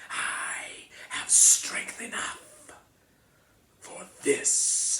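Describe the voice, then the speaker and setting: A man's whispered, put-on character voice. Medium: read story. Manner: cold, commanding.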